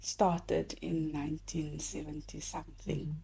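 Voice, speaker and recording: A woman speaks with a South African accent. Her pace is very slow. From South Africa, Cape Town. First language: Afrikaans. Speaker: teacher and linguist. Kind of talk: casual conversation.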